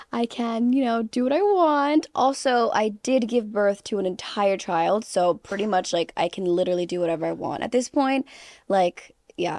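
In a plain, everyday voice, a woman speaks at a moderate pace with fairly high pitch and lively intonation, the sound dry and close with no echo against a quiet background. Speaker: content creator and model. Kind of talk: casual chat podcast.

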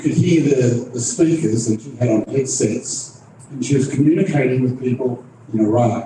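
A man with an Australian accent speaks at a medium pitch and a moderate pace. His pitch varies in an ordinary way, and there is noticeable background noise. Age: 60s. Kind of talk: moderating a live panel event. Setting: stage with audience, live streamed.

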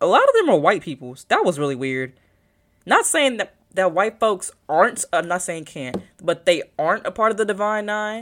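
Delivered in a normal speaking voice, the speech has lively intonation and a moderate tempo. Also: woman, medium pitch for a woman. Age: young. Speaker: podcaster and social media influencer. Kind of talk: casual solo chat. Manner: rambling, filler-heavy.

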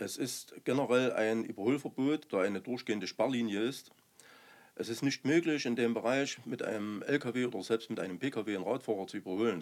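This is an ordinary speaking voice at a moderate pace with ordinary pitch variation. The recording is very clean, with a silent background. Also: man. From Saxony, Zwickau district. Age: 50s. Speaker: local politician and roofer. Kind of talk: podcast interview.

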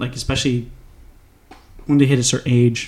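Spoken at a fairly quick pace, the voice has a dark, mellow tone and a monotone, flat intonation. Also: man. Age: 20s. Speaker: podcast host. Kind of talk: casual chat. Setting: studio.

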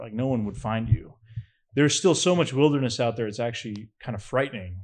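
Against a quiet background, a man with an American accent has an ordinary speaking voice at medium pitch with ordinary pitch variation. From New Hampshire, US. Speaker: filmmaker and cryptid researcher. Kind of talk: casual chat.

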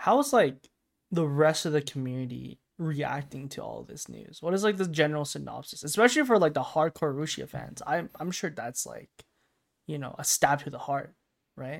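On a very clean recording with a silent background, a man speaks at a moderate pace with a fairly high pitch. His loudness swings widely while his pitch varies in an ordinary way. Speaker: podcast co-host. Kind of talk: casual chat. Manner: not soft-spoken.

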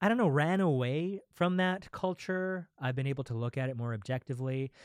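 An ordinary speaking voice, a man's at medium pitch with lively intonation, comes through dry and close with no echo on a very clean recording with a silent background. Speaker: podcast co-host. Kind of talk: casual chat.

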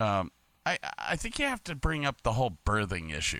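With an American accent and vocal fry, a man talks in a bright, sharp tone with very wide pitch swings, recorded very cleanly against a silent background. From Medina, Ohio. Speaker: podcaster, former cruise ship lighting technician and Navy sailor. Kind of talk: casual chat. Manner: halting, many repetitions.

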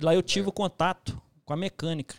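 In a dry, close sound with no echo, a man speaks at a moderate pace with ordinary pitch variation and an ordinary speaking voice. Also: very clean recording, silent background. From Minas Gerais, Brazil. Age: 30s. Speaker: construction site manager. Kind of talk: casual interview.

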